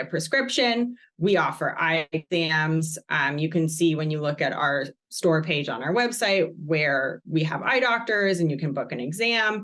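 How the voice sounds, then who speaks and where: In an American accent, an ordinary speaking voice moves at a moderate pace with lively intonation and hardly any pauses. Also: woman. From Massachusetts, US. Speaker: company social impact staff. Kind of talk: podcast interview.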